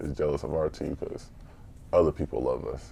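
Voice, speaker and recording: With an American accent, a man talks at a fairly quick pace with fairly even intonation and vocal fry. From US Midwest (St. Joseph, Missouri). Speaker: podcast co-host, youth mentor. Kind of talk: casual chat.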